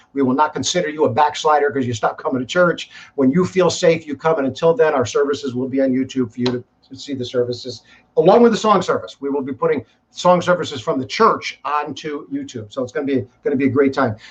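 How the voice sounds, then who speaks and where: At a very fast pace, a man with a fairly high pitch talks in a somewhat breathy voice with ordinary pitch variation. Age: 60s. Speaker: pastor. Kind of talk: live stream talk to congregation. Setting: live stream broadcast. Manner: casual, repetitive with false starts.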